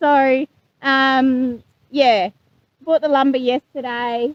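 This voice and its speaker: A woman's high voice in an Australian accent, very slow, with a dry, close sound and no echo. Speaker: homesteader. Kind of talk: vlog narration. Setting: outdoors. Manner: loud hollering.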